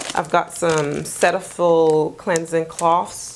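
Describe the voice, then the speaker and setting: Against noticeable background noise, a woman speaks with a fairly low pitch. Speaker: lifestyle vlogger. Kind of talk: casual vlog chat. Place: home room. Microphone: lapel.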